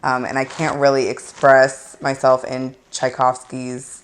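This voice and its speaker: A woman's very deep, low voice with an American accent, monotone and flat, at a very slow pace, over noticeable background noise. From St. Louis, Missouri. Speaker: singer and band leader. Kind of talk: interview. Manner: casual, hesitant with fillers.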